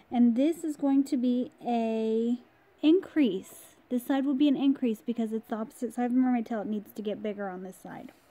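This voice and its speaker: A woman's soft-spoken, dark, mellow voice, high in pitch with ordinary variation, at a moderate pace with big swings in loudness. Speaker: crochet tutorial creator. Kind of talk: tutorial. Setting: at home in her room.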